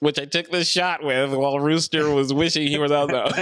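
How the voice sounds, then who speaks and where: In a put-on character voice, a man talks fairly quickly with a fairly high, nasal pitch and a monotone, flat intonation. His loudness stays very even, and there is light background noise. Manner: mocking, bragging tone.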